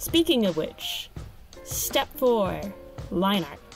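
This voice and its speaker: Music plays in the background while a woman talks. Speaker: digital artist. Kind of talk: casual product review and art tutorial voiceover.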